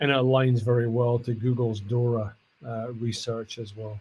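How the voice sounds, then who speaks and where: A somewhat breathy man with a Scottish accent, medium pitch, dark, mellow tone and monotone, flat intonation, at a moderate pace. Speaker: cloud customer engineer. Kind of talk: tech talk.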